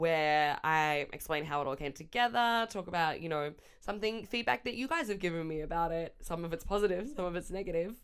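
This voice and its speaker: A woman talks loudly at a fairly quick pace with an Australian accent. Her tone is animated, with very wide pitch swings. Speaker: comedian. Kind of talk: casual vlog.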